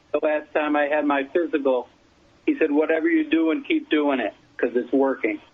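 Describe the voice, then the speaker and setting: A man speaks at a moderate pace with ordinary pitch variation. There is noticeable background noise. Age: 60s. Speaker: endurance cyclist. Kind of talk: interview. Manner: halting, repeats words.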